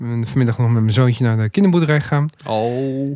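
Medium in pitch, a man moves at a fairly quick pace with ordinary pitch variation. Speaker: podcast guest. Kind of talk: casual chat. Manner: animated.

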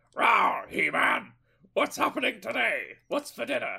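Moderately paced male speech in a gravelly, put-on character voice. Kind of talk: cartoonish. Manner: growly, playful.

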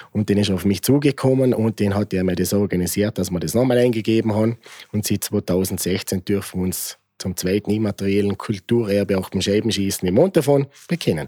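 A man with a Vorarlberg accent talks at a fairly quick pace in a fairly low pitch, with a dark, mellow tone and ordinary pitch variation. The sound is dry and close with no echo, in a very clean recording with a silent background. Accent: Montafon Vorarlberg dialect. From Austria, Vorarlberg, Montafon. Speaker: bonfire club member. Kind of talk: interview.

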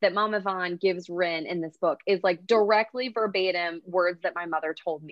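A woman uses a normal speaking voice with an American accent and a medium pitch. She keeps a moderate pace with ordinary pitch variation. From US Oklahoma. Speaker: romance author. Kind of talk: casual interview chat.

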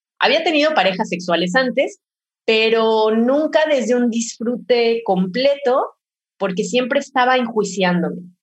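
A woman with a normal speaking voice talks at a fairly slow pace and fairly high pitch, with lively intonation. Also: very even loudness. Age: 30s. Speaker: pleasure educator. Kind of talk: casual chat.

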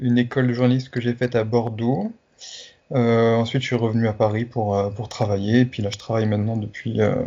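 Monotone and flat, a man speaks at medium pitch and a fairly quick pace. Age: 30s. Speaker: sports journalist and pastry influencer. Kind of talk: interview. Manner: halting, many hesitations.

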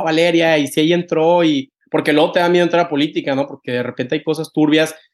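Over a quiet background, a man speaks at a fairly high pitch with fairly even intonation. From Mexico, Tampico. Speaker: podcast host. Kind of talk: casual interview chat. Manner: halting, many repetitions.

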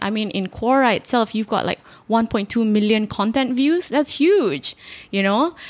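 In a very clean recording with a silent background, a woman with an unremarkable speaking voice and a fairly high pitch talks at a moderate pace. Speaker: podcast host interviewer. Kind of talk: casual interview conversation.

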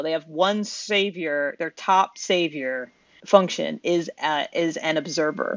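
A normal speaking voice from a woman at a fairly slow pace. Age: 30s. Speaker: podcast co-host. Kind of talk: casual chat.

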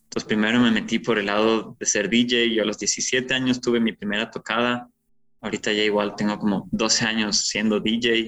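Monotone, flat intonation from a man at a medium pitch and a moderate pace. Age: 20s. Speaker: music producer, DJ and parkour athlete. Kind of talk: casual interview conversation.

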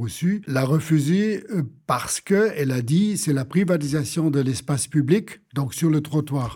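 A man speaks at a fairly slow pace with a fairly high pitch and lively intonation. His tone is dark and mellow and somewhat breathy. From Germany. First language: German (speaking French). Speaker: urban planner and economist. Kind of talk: interview. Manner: halting, repeats words.

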